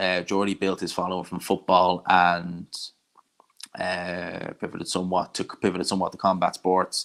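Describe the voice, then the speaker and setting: In a Dublin accent, a man with a very deep, low pitch talks at a moderate pace. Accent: Irish Dublin accent, less strong than some. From Ireland, Dublin. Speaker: combat sports YouTuber. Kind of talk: live stream watch-along, reading chat. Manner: casual, conversational.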